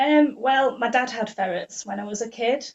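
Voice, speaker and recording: A woman's somewhat breathy voice with a Yorkshire accent. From northern England, Leeds. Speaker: ferret raw-feeding blogger. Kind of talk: podcast interview.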